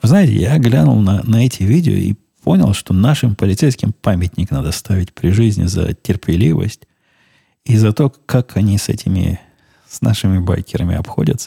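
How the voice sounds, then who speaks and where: A man talks at a moderate pace with a fairly low pitch and lively intonation. His tone is dark, mellow and somewhat breathy, and the sound is dry and close with no echo. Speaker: podcast host. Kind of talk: casual monologue.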